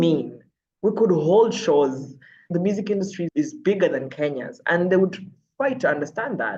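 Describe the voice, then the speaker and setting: In an animated tone, a woman speaks at a moderate pace with very wide pitch swings. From Uganda. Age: 30s. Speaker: TV and radio presenter. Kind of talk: interview conversation.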